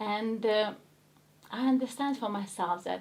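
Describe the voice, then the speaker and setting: A woman's fairly high voice at a fairly slow pace, with a strong Ukrainian accent. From Ukraine. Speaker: actress. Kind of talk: interview chat.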